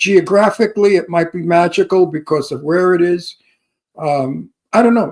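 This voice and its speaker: Speech in an American accent, very cleanly recorded against a silent background. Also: man. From Brooklyn, New York. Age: 60s. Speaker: actor and radio co-host. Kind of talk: casual chat. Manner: animated.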